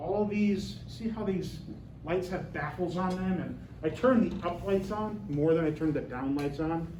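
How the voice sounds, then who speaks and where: A loud man with a high pitch speaks at a fairly slow pace with ordinary pitch variation, amid audible room echo and noticeable background noise. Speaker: university lecturer. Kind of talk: lecture. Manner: loud, projecting.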